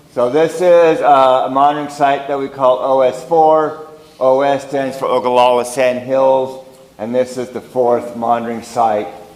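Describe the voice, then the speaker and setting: A man's medium-pitched voice at a moderate pace with fairly even intonation, amid audible room echo and noticeable background noise. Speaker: geologist giving a talk. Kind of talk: lecture. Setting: meeting room with audience. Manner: loud.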